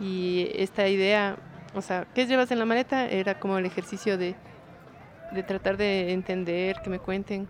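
A woman speaks in an ordinary speaking voice, with medium pitch and fairly even intonation. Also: moderate pace. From Ecuador, Quito. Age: 30s. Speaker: visual artist and cultural manager. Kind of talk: interview testimony.

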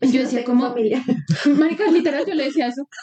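A woman talks at a very fast pace in a high pitch with ordinary variation. Noticeable background noise is present. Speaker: podcast co-host. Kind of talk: casual chat. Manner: animated.

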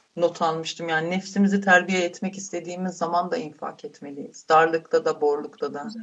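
A woman talks at a fairly quick pace with a fairly low pitch. She has a plain, everyday voice. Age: 30s. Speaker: charity volunteer. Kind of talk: casual chat.

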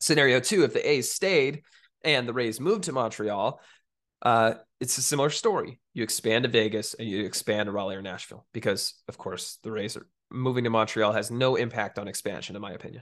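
Over a quiet background, a man of medium pitch speaks at a fairly quick pace, with ordinary pitch variation and big swings in loudness. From US West Coast, East Bay near Oakland. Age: 20s. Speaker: sports podcast host. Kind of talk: solo sports commentary podcast.

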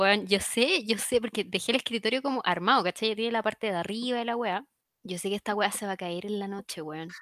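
Fairly quick pace with ordinary pitch variation on a very clean recording with a silent background. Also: woman, medium pitch for a woman. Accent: Chilean. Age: 20s. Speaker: podcast co-host. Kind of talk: casual chat.

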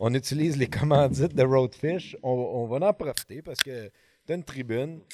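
A man with a Quebec accent, fairly high in pitch, at a very slow pace. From Quebec, Montreal. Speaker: fishing podcast host. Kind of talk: casual chat. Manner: animated.

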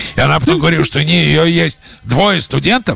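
A man at a moderate pace, against noticeable background noise. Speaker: film director. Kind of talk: interview.

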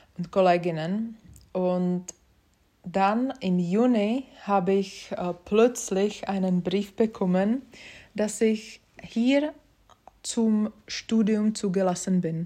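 A woman's dark, mellow voice of medium pitch in a Czech accent, very slow with long, frequent pauses and ordinary pitch variation, on a very clean recording with a silent background. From Czech Republic, Prague. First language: Czech (speaking German). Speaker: podcast host. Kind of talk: casual monologue. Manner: hesitant, many fillers.

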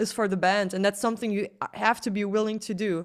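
A woman with a German accent speaks at a fairly quick pace, her medium pitch paired with fairly even intonation, on a very clean recording with a silent background. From Germany. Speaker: musician. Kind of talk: interview.

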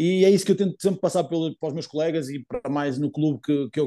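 At a very fast pace, a man speaks with a European Portuguese accent. His fairly high pitch carries ordinary variation. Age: 20s. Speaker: footballer, team captain. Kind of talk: interview. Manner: halting, many fillers and repetitions.

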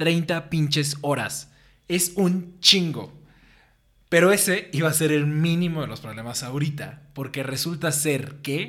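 This is a plain, everyday voice, and it moves along at a fairly slow pace. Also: man, fairly high pitch for a man, fairly even intonation. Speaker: podcast host. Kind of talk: scripted narration.

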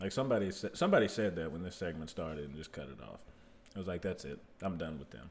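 With vocal fry and a very deep, low pitch, a man speaks very fast, his intonation lively and his loudness swinging widely. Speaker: podcast host. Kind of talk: casual chat. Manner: animated.

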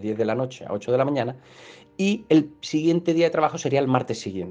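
Dark and mellow in tone, a man's voice moves along at a fairly quick pace. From Málaga, Andalusia, Spain. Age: 40s. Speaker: exam prep course narrator. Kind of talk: informal talk to listeners.

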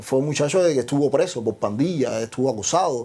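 The man's tone is dark and mellow. The background is silent, and the recording is very clean. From Cuba. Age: 30s. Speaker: social media comedian. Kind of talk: interview.

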